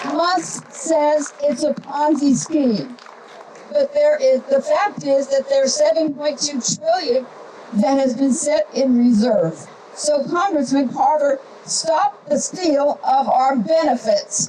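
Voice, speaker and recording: A woman with a high pitch speaks at a very slow pace. Noticeable background noise runs underneath. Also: ordinary pitch variation, very even loudness. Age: 70s. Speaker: town hall speaker. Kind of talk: public statement.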